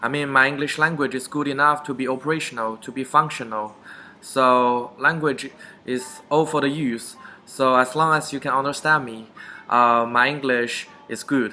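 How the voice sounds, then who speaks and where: In a Chinese accent, a man speaks at medium pitch and a moderate pace with fairly even intonation, over noticeable background noise. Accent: Chinese (Mandarin). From China, Beijing. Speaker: vlogger. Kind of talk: casual talk to camera.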